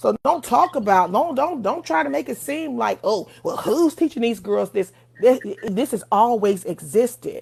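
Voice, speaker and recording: With vocal fry and very wide pitch swings, a woman speaks at a fairly high pitch. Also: moderate pace. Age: 40s. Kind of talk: livestream debate, opinionated talk.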